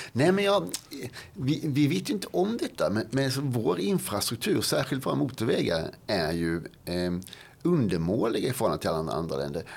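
Speaking at a moderate pace, a man with vocal fry and a medium pitch makes very wide pitch swings. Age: 50s. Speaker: policy expert and author. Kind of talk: interview conversation. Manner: halting, with many fillers and repetitions.

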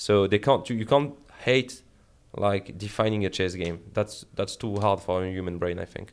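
A man with a French accent, fairly low pitch and ordinary pitch variation. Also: moderate pace, very clean recording, silent background. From France. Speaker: esports head coach. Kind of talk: casual chat.

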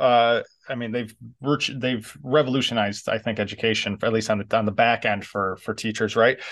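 A man with an American accent talks in an ordinary speaking voice at medium pitch. His pace is fairly quick, and the background is quiet. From New York. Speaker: podcast host and adapted PE teacher. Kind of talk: interview, casual conversation.

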